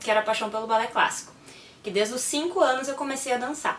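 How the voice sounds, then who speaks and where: Noticeable background noise sits behind the speech. The speaker is a woman with a high pitch. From Brazil, moved around (Pará, Rio, Fortaleza, Minas). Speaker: physiotherapist. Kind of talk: personal talk to camera. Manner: casual, lively storytelling.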